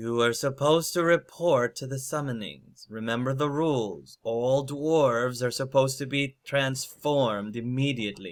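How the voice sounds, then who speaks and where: A man performs a put-on character voice that is loud, booming and resonant, at medium pitch. He keeps a moderate pace with hardly any pauses. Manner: commanding, authoritative.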